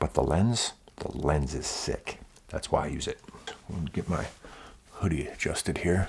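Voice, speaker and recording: Whispering, a man speaks at a moderate pace in a relaxed tone. He takes long, frequent pauses. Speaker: photographer. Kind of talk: casual vlog talk. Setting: indoors, early morning. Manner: quiet, keeping voice down; casual, relaxed.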